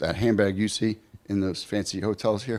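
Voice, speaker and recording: A man speaks with a New York accent in an animated tone at a moderate pace. The recording is very clean, with a silent background. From New York City. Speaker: conference speaker, practice owner. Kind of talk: conference talk with personal stories.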